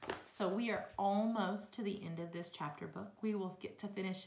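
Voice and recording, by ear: Someone reading aloud in a natural voice, the intonation fairly even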